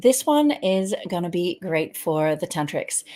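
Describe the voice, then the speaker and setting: In a British accent, a woman at medium pitch talks at a moderate pace with very wide pitch swings, on a very clean recording with a silent background. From Britain. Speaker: tantra teacher and host. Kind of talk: casual interview.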